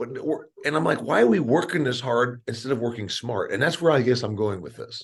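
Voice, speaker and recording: Somewhat breathy, a man talks at a fairly quick pace. His pitch variation is ordinary. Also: medium pitch for a man. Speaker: podcast host. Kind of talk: podcast interview questions.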